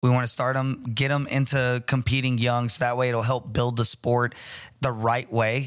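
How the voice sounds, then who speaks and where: A man speaks at a medium pitch and a moderate pace, his intonation monotone and flat and his loudness very even. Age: 30s. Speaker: martial arts gym owner and fight promoter. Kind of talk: casual chat.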